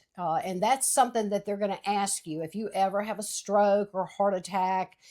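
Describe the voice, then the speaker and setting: A very clean recording, silent background, and fairly even intonation. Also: woman. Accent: Louisiana. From Louisiana. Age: 60s. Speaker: podcast co-host. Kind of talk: casual chat.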